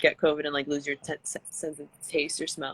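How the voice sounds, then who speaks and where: The woman's voice is very deep and low. She speaks with monotone, flat intonation. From Colombia, moved to US at five. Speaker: psychology graduate and wellness ambassador. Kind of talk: casual live stream chat.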